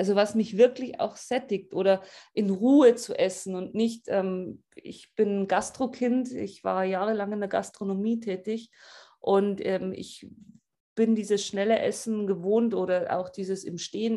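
Speaking at a fairly slow pace, a woman has a dark, mellow tone, medium pitch and fairly even intonation. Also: big swings in loudness. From Upper Bavaria, Germany. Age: 30s. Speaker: coaching client. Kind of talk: interview testimony.

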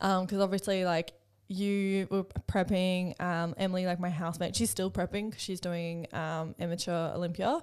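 A woman with an Australian accent talks at a moderate pace and medium pitch in a monotone, flat intonation, on a very clean recording with a silent background. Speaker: podcast co-host. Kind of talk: casual chat.

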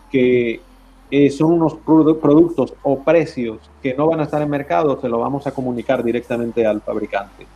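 A man speaks at a fairly slow pace in a fairly high pitch, his tone dark and mellow and his intonation fairly even. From Spain, Valencia. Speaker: trade association representative. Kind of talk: interview.

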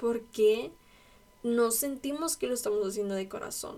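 This woman has a dark, mellow tone. The rise and fall of her pitch is ordinary. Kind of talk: devotional talk. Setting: at home in her bedroom. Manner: casual.

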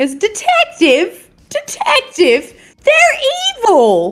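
Over music in the background, a put-on character voice comes out whiny. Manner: whiny, complaining.

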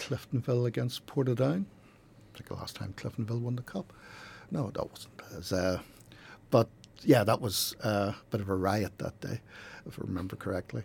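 With a Northern Irish accent, a somewhat breathy man speaks with ordinary pitch variation, big swings in loudness and long, frequent pauses. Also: medium pitch for a man, moderate pace. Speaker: football statistician. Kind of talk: casual chat. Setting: studio.

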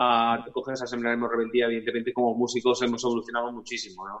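A man speaks at medium pitch. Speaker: punk-ska band singer. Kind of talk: casual interview.

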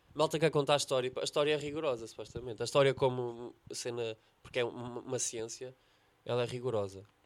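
In a European Portuguese accent, the speaker races along at a very fast pace with fairly even intonation. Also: man, medium pitch for a man. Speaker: comedian. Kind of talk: casual chat.

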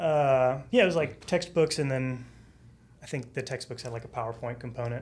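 In a plain, everyday voice, a man with an American accent talks at a moderate pace and medium pitch with ordinary pitch variation. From Texas. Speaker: former English teacher, data team staff. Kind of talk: casual chat. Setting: studio.

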